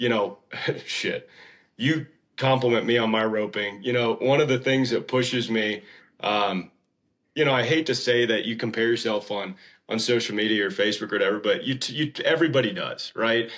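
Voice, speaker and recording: Speaking in an ordinary speaking voice with an American accent, a man of medium pitch talks at a fairly quick pace with ordinary pitch variation. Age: 30s. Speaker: horse trainer. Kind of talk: casual chat.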